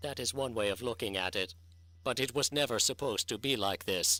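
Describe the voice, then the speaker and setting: A man puts on a character voice at a medium pitch, speaking at a fairly quick pace. The tone is sad. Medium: audio drama. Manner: sad, reticent.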